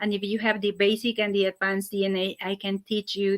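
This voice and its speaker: A woman with a Spanish accent, medium pitch and monotone, flat intonation, in a dry, close sound with no echo. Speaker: holistic healing practitioner. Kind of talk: live stream talk. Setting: online live stream. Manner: halting, many fillers.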